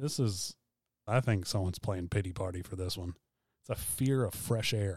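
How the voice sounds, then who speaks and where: Speaking with a Southern US accent, a man's somewhat breathy, fairly low voice keeps a moderate pace and ordinary pitch variation in a very clean recording with a silent background. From South Carolina. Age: 30s. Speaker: podcast co-host. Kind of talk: casual chat. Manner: soft-spoken.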